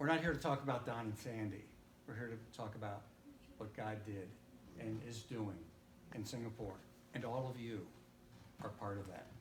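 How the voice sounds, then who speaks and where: Amid audible room echo and noticeable background noise, a man speaks with ordinary pitch variation and long, frequent pauses. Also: medium pitch for a man, moderate pace. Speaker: missionary. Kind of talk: church talk. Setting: church. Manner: loud.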